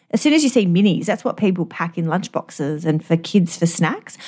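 A woman at a medium pitch, fairly quick, with very wide pitch swings. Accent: Australian. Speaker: dietitian podcast host. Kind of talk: casual chat.

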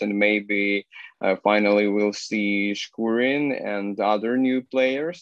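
The speech moves at a very slow pace with monotone, flat intonation. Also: man. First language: Ukrainian or Russian. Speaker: TV host. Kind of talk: casual chat. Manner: halting.

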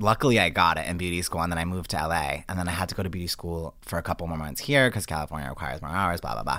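A man with a very deep, low pitch and vocal fry talks at a very fast pace with hardly any pauses, his bright, sharp tone showing ordinary pitch variation on a very clean recording with a silent background. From Rhode Island, Johnston. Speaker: celebrity hairstylist. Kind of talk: casual chat. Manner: animated.

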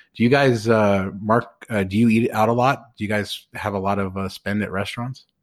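Here a man has a normal speaking voice pitched fairly low, with fairly even intonation. He keeps a moderate pace with hardly any pauses. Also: very clean recording, silent background. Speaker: podcast host. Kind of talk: casual chat.

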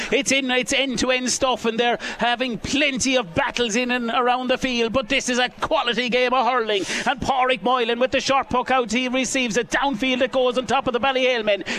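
In a raised, projected voice, a man speaks at an extremely high pitch and a fairly quick pace, with hardly any pauses, fairly even intonation and very even loudness, over noticeable background noise. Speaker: live radio commentator. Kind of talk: live sports commentary. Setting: outdoors at the ground. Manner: fast, fluent play-by-play delivery.

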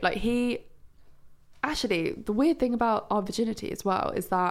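A woman talks at a fairly high pitch. Her pace is moderate, with ordinary pitch variation.

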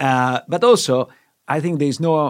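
Speech at a moderate pace with ordinary pitch variation comes through on a very clean recording with a silent background. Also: man. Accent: Italian. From Italy. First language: Italian. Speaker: finance professor. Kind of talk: casual explanatory discussion.

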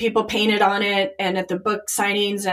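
A woman has a plain, everyday voice in an American accent. Her pitch is medium and her pace moderate. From Chicago. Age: 50s. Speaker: artist and business owner. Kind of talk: casual chat.

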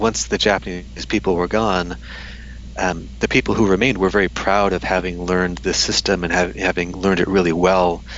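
With an American accent and a very deep, low pitch, a man talks at a moderate pace over noticeable background noise. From United States. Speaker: history professor. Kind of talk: interview. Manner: frequent fillers and repetitions.

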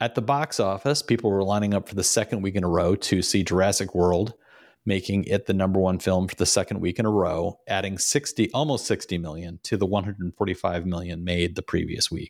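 A man with a very deep, low voice talks at a fairly quick pace with hardly any pauses. His pitch varies in an ordinary way, on a very clean recording with a silent background. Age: 50s. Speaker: podcast host and author. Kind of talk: casual chat.

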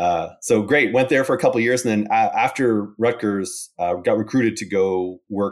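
Here is a man with a Canadian accent and an ordinary speaking voice, fairly low in pitch with ordinary pitch variation. He talks at a moderate pace on a very clean recording with a silent background. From Calgary, Canada. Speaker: oil and gas analytics consultant. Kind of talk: casual chat.

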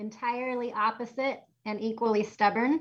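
A woman talks with a bright, sharp tone and monotone, flat intonation. The background is quiet. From Boston. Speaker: pastor. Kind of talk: interview.

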